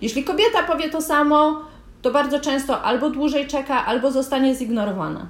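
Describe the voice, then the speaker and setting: Speaking in a high pitch, a woman moves at a fairly quick pace with ordinary pitch variation. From Poland. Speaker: podcast co-host. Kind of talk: conversational discussion.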